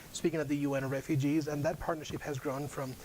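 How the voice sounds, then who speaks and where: Audible room echo surrounds a man with a Spanish accent speaking at a very fast pace. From Spain. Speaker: UN outreach officer. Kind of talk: guest lecture.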